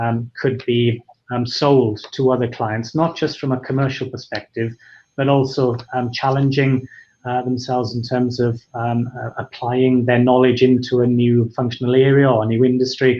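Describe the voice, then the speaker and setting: A man's flat, monotone intonation with a Welsh accent. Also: medium pitch for a man, moderate pace. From Wales. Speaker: founder of an HR freelance marketplace. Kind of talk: webinar discussion. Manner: hesitant, many fillers.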